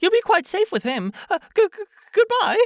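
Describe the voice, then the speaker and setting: Using a put-on character voice, a man speaks at a moderate pace in an extremely high, squeaky pitch with a nervous tone. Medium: read story. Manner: nervous, stammering.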